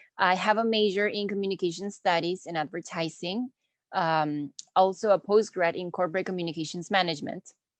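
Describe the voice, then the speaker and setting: A woman with a Spanish accent speaks at a moderate pace, her fairly low pitch moving with ordinary variation. The sound is dry and close with no echo, over a quiet background. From Peru. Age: 20s. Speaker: marketing instructor. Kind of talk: online lecture. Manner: casual, friendly.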